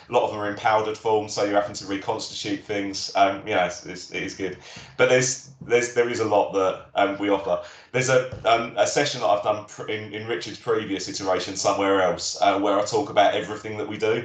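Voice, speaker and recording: Amid noticeable background noise and audible room echo, a man speaks at a very fast pace with fairly even intonation. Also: fairly low pitch for a man, big swings in loudness. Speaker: critical care and air ambulance paramedic. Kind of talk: career talk Q&A on a live webinar. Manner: hesitant, many fillers.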